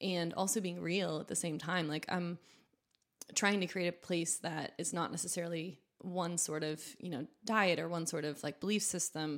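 A woman in a plain, everyday voice speaks at a moderate pace with fairly even intonation and a fairly low pitch. The recording is very clean, with a silent background. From New Hampshire, US. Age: young. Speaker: food entrepreneur. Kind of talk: casual interview.

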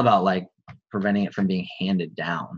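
At a moderate pace, a man talks in an unremarkable speaking voice with a fairly low pitch. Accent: American. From US Midwest, small-town Wisconsin. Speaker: men's coach. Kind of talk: interview conversation.

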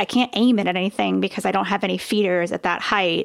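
At a very fast pace, a woman speaks with vocal fry on a very clean recording with a silent background. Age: 40s. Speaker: author and former business owner. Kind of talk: casual chat.

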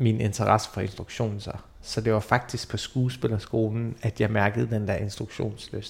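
A somewhat breathy male voice. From Denmark, grew up near Aarhus (Hørning). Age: 30s. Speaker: theatre director. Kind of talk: interview.

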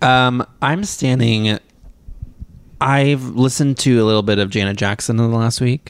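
A man talks in an ordinary speaking voice at medium pitch and a moderate pace, with ordinary pitch variation and very even loudness. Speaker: podcast co-host. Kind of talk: casual chat.

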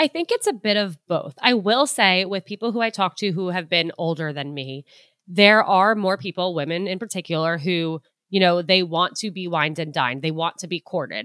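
A woman's normal speaking voice at a medium pitch, with ordinary pitch variation and a moderate pace. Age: 20s. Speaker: dating advice guest. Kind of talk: casual interview chat.

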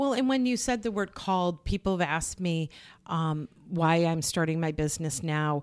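A woman with a normal speaking voice talks at a fairly low pitch, her intonation lively. Her loudness stays very even on a very clean recording with a silent background. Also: moderate pace. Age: 50s. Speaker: grief counselor. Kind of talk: interview.

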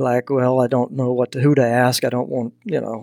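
With a slight Southern US accent, a man speaks fairly quickly at a medium pitch in a flat monotone, recorded very cleanly over a silent background. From Texas. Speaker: hunting mentorship nonprofit founder. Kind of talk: casual interview.

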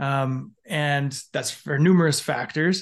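Here a man with a western Canadian accent speaks at a fairly high pitch. Behind him the background is quiet. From Canada, Alberta. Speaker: former police officer. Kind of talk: casual interview. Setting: video call.

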